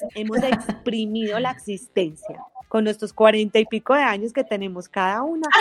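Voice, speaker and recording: Woman with a Colombian paisa accent, fairly high pitch, ordinary pitch variation and a moderate pace. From Colombia, Manizales. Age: 40s. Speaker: podcast co-host, communicator and teacher. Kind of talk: casual chat. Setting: remote call over internet.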